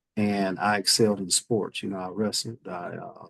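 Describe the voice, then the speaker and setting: A man with a Southern US accent, fairly low pitch and monotone, flat intonation at a moderate pace, in a dry, close sound with no echo. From US Midwest, Fort Wayne, Indiana. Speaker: government official, Marine veteran. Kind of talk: interview.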